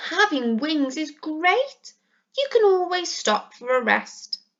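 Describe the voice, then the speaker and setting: Speaking at a fairly slow pace, a woman puts on a character voice at an extremely high pitch. Her pitch swings very widely. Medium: read story. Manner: warm, reassuring.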